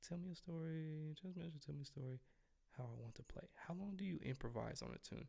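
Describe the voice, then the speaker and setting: A man talks at a fairly quick pace, yet with long, frequent pauses. His tone is dark and mellow, with ordinary pitch variation. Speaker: trumpet teacher. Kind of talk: live stream Q&A. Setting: live stream. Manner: casual.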